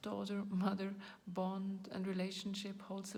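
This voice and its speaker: A woman with a non-native accent talks at a fairly slow pace, her voice somewhat breathy. Audible room echo surrounds the recording. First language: not English. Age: 40s. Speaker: video blogger. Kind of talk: personal talk to camera. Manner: halting, searching for words.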